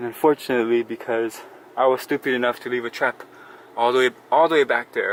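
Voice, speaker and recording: Against noticeable background noise, a man speaks in a medium pitch with monotone, flat intonation, the sound dry and close with no echo. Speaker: homeowner vlogger. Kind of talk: casual tutorial vlog. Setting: in a hot attic. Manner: hesitant, filler-heavy.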